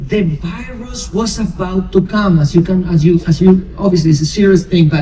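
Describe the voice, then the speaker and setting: A man with a Spanish accent speaks at a moderate pace in a high pitch for a man, with noticeable background noise. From Argentina, Buenos Aires. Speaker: cruise director. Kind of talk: onboard presentation to passengers. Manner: animated.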